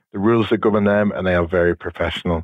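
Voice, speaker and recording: With a British accent, a man speaks in a fairly low, monotone voice with flat intonation. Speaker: police officer, counter-drone specialist. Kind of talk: interview. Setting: podcast interview.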